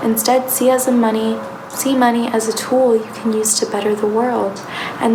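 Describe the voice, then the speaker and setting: Over noticeable background noise, a soft-spoken woman with a fairly high pitch talks at a moderate pace and fairly even intonation. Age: young. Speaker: tarot reader. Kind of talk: soft-spoken ASMR tarot reading.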